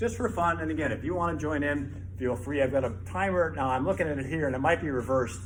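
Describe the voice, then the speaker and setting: With audible room echo, a man races along at a very fast pace with hardly any pauses, his medium-pitched voice swinging very widely. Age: 60s. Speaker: fitness instructor. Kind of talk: workout video intro. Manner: casual.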